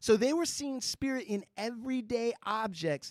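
A man with an American accent, in a dry, close sound with no echo. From Southern California. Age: 40s. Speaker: co-host, attorney. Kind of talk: casual chat.

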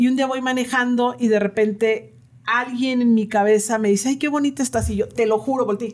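A woman speaks fairly quickly in a high pitch with fairly even intonation. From northern Mexico, Comarca Lagunera. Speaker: ice cream business owner and language teacher. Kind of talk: casual interview.

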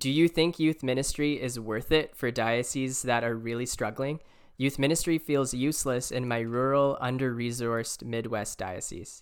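In a plain, everyday voice, a man with a medium pitch and fairly even intonation talks at a moderate pace with hardly any pauses, on a very clean recording with a silent background. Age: 20s. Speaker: podcast host. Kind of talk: casual chat.

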